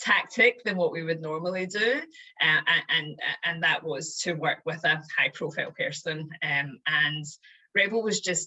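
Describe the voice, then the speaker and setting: A woman's fairly low voice in a Scottish accent at a fairly slow pace. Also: ordinary pitch variation. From Scotland. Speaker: chief marketing officer. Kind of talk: interview answer.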